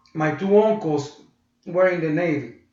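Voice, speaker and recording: A man with a Puerto Rican accent, fairly high pitch and ordinary pitch variation, with audible room echo. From Puerto Rico. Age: 60s. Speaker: blues guitarist. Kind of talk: interview.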